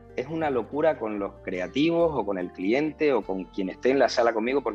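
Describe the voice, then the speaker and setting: Music plays in the background as a man talks at a medium pitch with lively intonation. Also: moderate pace. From Canary Islands.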